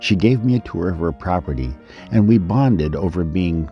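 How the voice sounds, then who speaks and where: With music in the background, a man speaks at a moderate pace in a very deep, low pitch with lively intonation. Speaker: documentary producer. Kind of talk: documentary narration.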